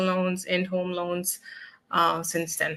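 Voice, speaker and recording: Speaking very slowly, a woman has a bright, sharp tone. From Germany. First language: German. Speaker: mortgage loan officer. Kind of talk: interview bio.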